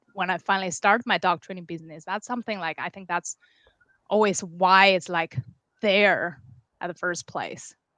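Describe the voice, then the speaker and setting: With a Chinese accent, a woman speaks in a bright, sharp tone, her sound dry and close with no echo over a quiet background. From China, Beijing. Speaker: dog trainer. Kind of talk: interview.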